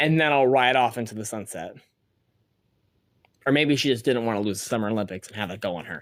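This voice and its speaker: Speaking at a very fast pace yet with long, frequent pauses, a man with a medium pitch shows big swings in loudness. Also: ordinary pitch variation, very clean recording, silent background. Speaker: solo podcast host on women's soccer. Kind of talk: casual solo podcast monologue. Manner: sometimes slurs words; fast, many fillers and repetitions.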